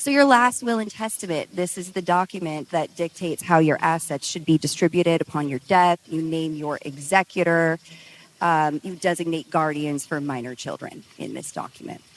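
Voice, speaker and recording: In an ordinary speaking voice, a woman talks at a moderate pace and fairly low pitch with ordinary pitch variation and big swings in loudness, the sound dry and close with no echo. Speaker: estate planning panelist. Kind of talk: seminar panel talk.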